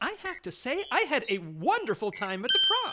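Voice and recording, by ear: A woman performs a put-on character voice with a bright, sharp tone and very wide pitch swings. Her pitch sits high, and her pace is moderate.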